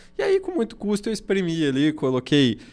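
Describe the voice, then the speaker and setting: A man speaks at a fairly high pitch for a man, with music playing in the background. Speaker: podcast host, lawyer. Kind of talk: casual chat. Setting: studio.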